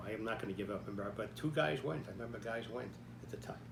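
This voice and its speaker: A man is speaking. Room echo is audible, along with noticeable background noise. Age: 90s. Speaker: army veteran telling life story. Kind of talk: personal storytelling talk. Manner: halting, with frequent fillers.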